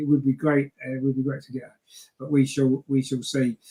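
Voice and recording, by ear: Speaking fairly quickly, a man with a medium pitch has a dark, mellow tone with a slightly husky edge and little pitch movement.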